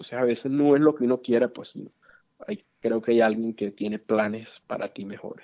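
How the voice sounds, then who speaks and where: Moderate-paced speech from a man, medium in pitch, dark and mellow in tone, with fairly even intonation. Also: big swings in loudness. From Venezuela, Valencia. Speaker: physician. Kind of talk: interview conversation.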